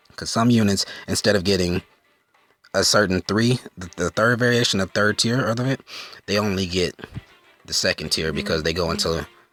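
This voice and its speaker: Over music in the background, a man speaks at a fairly low pitch with ordinary pitch variation and long, frequent pauses, the sound dry and close with no echo. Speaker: gaming YouTuber. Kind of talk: gaming tutorial. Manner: fast.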